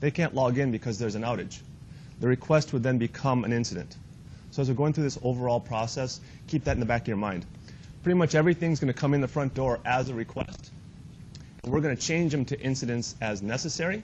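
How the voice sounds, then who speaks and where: At a very fast pace, a man talks in a somewhat breathy, medium-pitched voice. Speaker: IT trainer. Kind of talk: training workshop.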